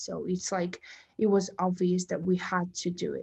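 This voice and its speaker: Against a quiet background, a woman with a dark, mellow tone and medium pitch speaks at a moderate pace, sounding somewhat breathy. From Kazakhstan, Almaty. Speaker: university student. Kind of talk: interview.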